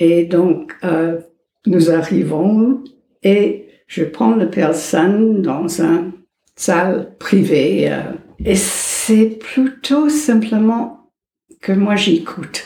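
A woman with a medium pitch and lively intonation talks at a very slow pace, leaving long, frequent pauses. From United States. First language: English (speaking French). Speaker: psychologist. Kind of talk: interview.

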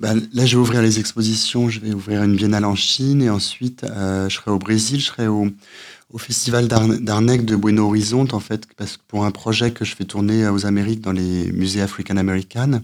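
The speech moves at a moderate pace in a flat monotone. The recording is very clean and the background silent. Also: man, fairly low pitch for a man. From France. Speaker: photographer and visual artist. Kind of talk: radio interview. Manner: hesitant, many fillers and repetitions.

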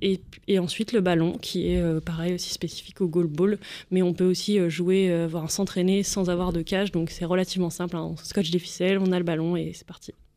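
A woman with a fairly low pitch and a dark, mellow tone talks at a fairly quick pace in a monotone, flat intonation. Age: 20s. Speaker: visually impaired goalball athlete. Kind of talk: radio interview.

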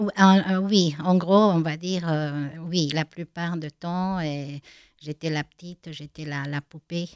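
With a Spanish accent, a woman with a fairly low pitch speaks very slowly with big swings in loudness, in a dry, close sound with no echo. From Bolivia, La Paz. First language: Spanish (speaking French). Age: 50s. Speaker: blind woman giving testimony. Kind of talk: interview testimony. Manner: halting, many hesitations.

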